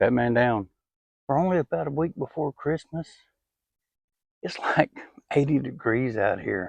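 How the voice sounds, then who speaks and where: The sound is dry and close with no echo as someone with a Southern US accent speaks at a moderate pace, with lively intonation and long, frequent pauses. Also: man, fairly high pitch for a man. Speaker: outdoors vlogger. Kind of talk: casual vlog narration. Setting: outdoors.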